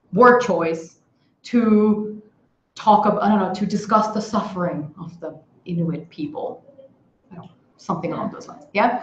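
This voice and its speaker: With long, frequent pauses, a woman speaks with ordinary pitch variation and big swings in loudness, and audible room echo can be heard. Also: medium pitch for a woman, moderate pace. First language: Hindi. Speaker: English tutor. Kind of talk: online workshop lesson. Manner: animated.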